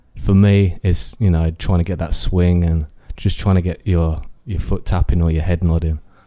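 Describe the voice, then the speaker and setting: Very deep and low in pitch, with a dark, mellow tone and an East Midlands accent, a man speaks in a flat monotone at a moderate pace in a very clean recording with a silent background. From Northampton, England. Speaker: music producer. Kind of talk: interview. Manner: halting.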